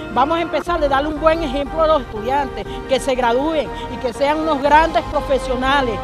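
Clear music plays in the background of a dry sound with no echo. The speech moves at a moderate pace. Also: woman. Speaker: mother of a detained student. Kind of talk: public statement to press. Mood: indignant, pleading. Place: street. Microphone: handheld.

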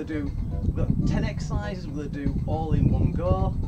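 Loud music plays in the background. Over it, a man talks at a fairly quick pace. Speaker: fitness instructor. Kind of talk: workout instruction. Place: garden. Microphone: camera far.

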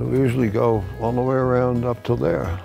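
Clear music plays in the background. A man with an American accent speaks with lively intonation. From New York. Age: 80s+. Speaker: triathlete. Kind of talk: interview answer. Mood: humorous, confident.

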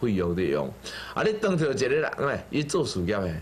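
A man speaks over light background noise. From Taiwan. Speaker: Buddhist teacher. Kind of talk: sermon. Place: studio. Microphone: lapel.

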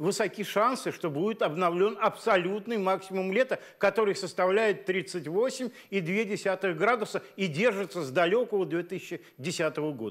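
A high-pitched man at a fairly slow pace with ordinary pitch variation, hardly any pauses and a quiet background. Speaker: weather forecaster at hydrometeorological centre. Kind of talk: scripted expert forecast, explanatory, measured. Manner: calm, measured, technical. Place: studio. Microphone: lapel.

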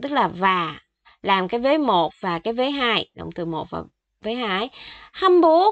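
A fairly high-pitched woman's voice with very wide pitch swings. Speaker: Korean language teacher. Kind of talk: language lesson tutorial.

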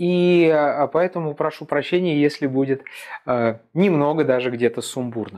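With lively intonation, a man talks at a moderate pace against a quiet background. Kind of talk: informational talk to camera. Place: office. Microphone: lapel.

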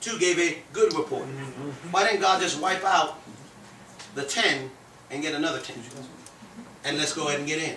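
With ordinary pitch variation and a moderate pace, a man talks through long, frequent pauses, light background noise and audible room echo around him. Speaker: preacher. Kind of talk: sermon. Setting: church. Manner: animated. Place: home room. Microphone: handheld.

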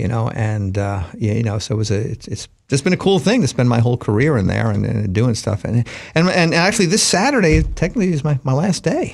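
With an American accent, a man speaks at a medium pitch with lively intonation and vocal fry. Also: fairly quick pace.

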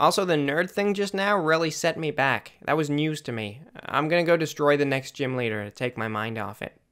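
This put-on character voice is nasal and low-to-middle in pitch, running at a fairly quick pace with hardly any pauses. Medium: machinima. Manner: earnest, naive, chirpy.

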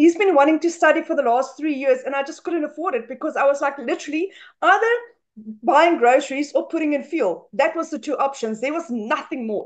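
A woman with a South African accent and lively intonation, over a quiet background. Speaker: stay-at-home mother; webinar guest. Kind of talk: testimony. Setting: video call. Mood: emotional, proud, grateful. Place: home room. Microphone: webcam.

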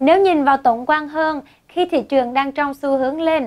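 Against a quiet background, a woman speaks at a fairly slow pace with a high pitch and ordinary pitch variation. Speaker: forex educator / channel presenter; forex educator, presenter. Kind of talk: tutorial. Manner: formal. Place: studio. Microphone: lapel.

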